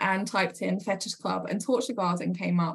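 At medium pitch and a moderate pace, a woman talks with vocal fry and ordinary pitch variation. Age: 40s. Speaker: entrepreneur. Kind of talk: casual chat. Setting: video call. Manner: hesitant, many fillers.

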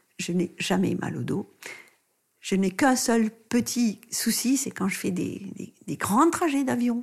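A woman speaks at a very slow pace with lively intonation. Vocal fry shows up in her voice. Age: 70s. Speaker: doctor and author on pregnancy and postpartum care. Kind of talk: interview. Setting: in-person studio recording with masks over the mics.

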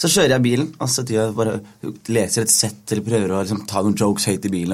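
A man talks very fast at a fairly low pitch, with ordinary pitch variation. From foreign-born, grew up in Norway. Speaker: stand-up comedian. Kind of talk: casual chat. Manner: animated.

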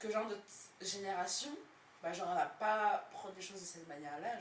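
An animated tone at a fairly quick pace, with audible room echo and noticeable background noise. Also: woman. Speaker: podcast host. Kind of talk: casual chat. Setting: recorded with friends on Friday evening.

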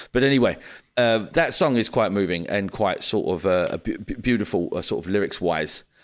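Speaking at a moderate pace, a man uses a plain, everyday voice with fairly low pitch and ordinary pitch variation. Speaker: podcast host. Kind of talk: casual chat. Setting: remote call.

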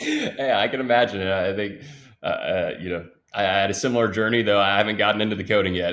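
A man with an American accent has an ordinary speaking voice, fairly low and fairly even in intonation. He talks at a fairly quick pace in a very clean recording with a silent background. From Austin, Texas. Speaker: tech recruiter CEO. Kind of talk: casual interview chat.

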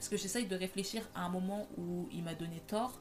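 Somewhat breathy woman's voice at a moderate pace with fairly even intonation. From Paris, France. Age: 20s. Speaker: podcast host. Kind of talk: casual monologue.

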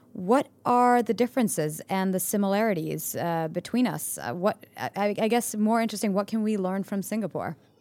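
In an unremarkable speaking voice, a woman talks at medium pitch and a moderate pace, with ordinary pitch variation and hardly any pauses. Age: 30s. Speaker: podcast host. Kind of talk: interview.

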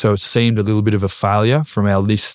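A man with an Australian accent, fairly low in pitch and fairly even in intonation, at a moderate pace, in a very clean recording with a silent background and a dry, close sound free of echo. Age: 20s. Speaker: retired footballer. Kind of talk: casual chat.

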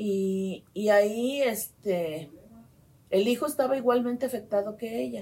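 A woman with a fairly high, somewhat breathy voice and a dark, mellow tone speaks at a very slow pace with lively intonation. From Mexico, Guadalajara, Jalisco. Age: 60s. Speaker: medical geneticist. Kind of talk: interview. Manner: halting.

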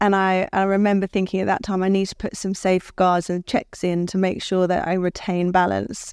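Very cleanly recorded against a silent background, a woman with a London accent talks at a fairly quick pace and medium pitch in a monotone, flat intonation. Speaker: creative director. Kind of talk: interview at live event.

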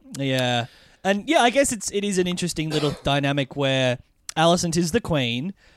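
Talking at a fairly quick pace, a man with an Australian accent uses a fairly high pitch and lively intonation. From Australia (Melbourne). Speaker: podcast host. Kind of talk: casual chat. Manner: laughs often.

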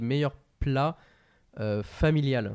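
A man at a very slow pace, medium in pitch, with ordinary pitch variation. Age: 20s. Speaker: podcast host. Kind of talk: casual chat.

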